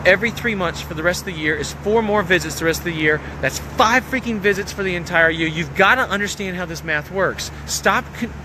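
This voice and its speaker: A man talks at a fairly quick pace with a high pitch and ordinary pitch variation. Noticeable background noise runs underneath. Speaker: business coach. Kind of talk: motivational talk. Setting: outdoors. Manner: fast; animated.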